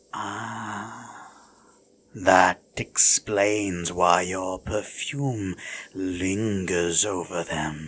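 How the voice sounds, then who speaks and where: A woman speaks very slowly in a put-on character voice with a very deep, low pitch. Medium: audio drama. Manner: smug, teasing, regal.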